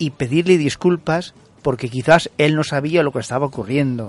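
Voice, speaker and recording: The intonation is lively. The pace is moderate. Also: man. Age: 50s. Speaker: radio co-host. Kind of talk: radio talk show. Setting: radio studio.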